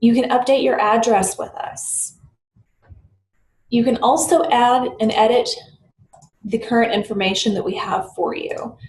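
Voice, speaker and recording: A woman with an American accent and a fairly high pitch speaks at a fairly slow pace with long, frequent pauses and lively intonation. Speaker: software tutorial presenter. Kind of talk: screen-recorded tutorial. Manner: hesitant with fillers and self-corrections.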